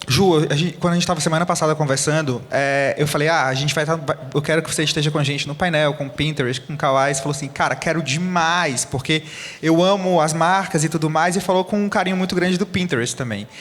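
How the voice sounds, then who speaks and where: A man speaks very fast, hardly pausing at all. His intonation is fairly even, and there is noticeable background noise. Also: fairly high pitch for a man. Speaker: panel moderator, agency CEO. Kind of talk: panel discussion.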